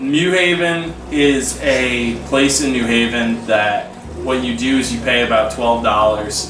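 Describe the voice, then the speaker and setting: Noticeable background noise runs under a voice with ordinary pitch variation. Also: man. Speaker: vlogger. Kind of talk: casual vlog chat. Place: home room. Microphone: camera far.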